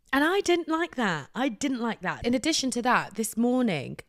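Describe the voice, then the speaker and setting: On a very clean recording with a silent background, a woman with a British accent sounds animated, her intonation lively. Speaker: podcast host. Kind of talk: casual monologue. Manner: soft-spoken.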